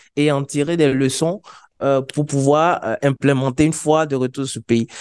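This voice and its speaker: The pace is moderate. The background is quiet. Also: man. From Côte d'Ivoire. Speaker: wiki community organizer. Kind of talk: conference presentation. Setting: conference stage with audience. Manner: hesitant, many fillers. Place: meeting room.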